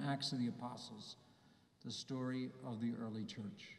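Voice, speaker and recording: A man's dark, mellow, warm voice, somewhat breathy, at a moderate pace, with audible room echo against a quiet background. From US, New Jersey. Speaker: bishop. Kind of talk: homily at Mass to young people, warm and reflective. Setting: church, Mass with a youth audience. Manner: earnest, personal, gently paced with small hesitations; warm and encouraging, building to a rousing close. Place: church. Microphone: podium.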